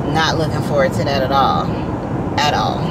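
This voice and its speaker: Loud background noise behind a woman talking at a fairly quick pace. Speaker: delivery driver vlogger. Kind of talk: casual vlog chat. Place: car. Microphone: phone near.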